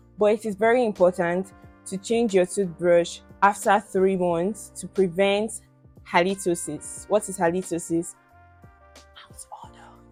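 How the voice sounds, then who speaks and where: Over music in the background, a woman talks at a moderate pace and medium pitch with fairly even intonation. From Nigeria. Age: 20s. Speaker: beauty and lifestyle vlogger. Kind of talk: casual talk to camera.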